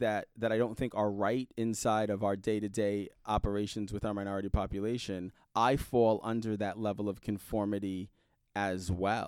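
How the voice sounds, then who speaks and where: A man with an American accent and fairly low pitch talks at a moderate pace. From New York City (Brooklyn). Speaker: high school English teacher. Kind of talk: casual interview. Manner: halting, many fillers.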